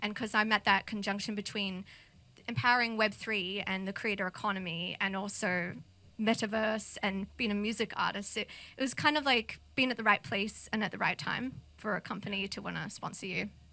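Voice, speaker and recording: A woman with an Australian accent talks at a fairly quick pace in a bright, sharp tone at medium pitch, her intonation fairly even. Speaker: multimedia artist and music producer. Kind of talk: interview.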